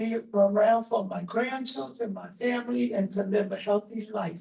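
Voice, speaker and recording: Somewhat breathy and dark, mellow in tone, a woman speaks at a fairly high pitch with an American accent. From New York City, US. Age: 70s. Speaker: audience member. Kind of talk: audience comment.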